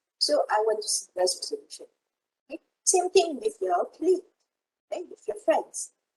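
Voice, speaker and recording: A woman with a Malaysian accent speaks in an extremely high, dark and mellow voice, her pitch swinging very widely and her loudness shifting a lot, with long, frequent pauses and a dry, close sound with no echo. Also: moderate pace. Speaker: university lecturer. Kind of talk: online lecture. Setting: video call.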